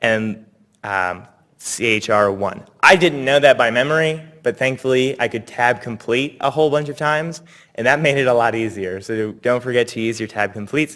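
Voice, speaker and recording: A man's voice sits at medium pitch with ordinary variation and a bright, sharp tone. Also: moderate pace. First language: not English. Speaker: workshop instructor. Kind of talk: tutorial.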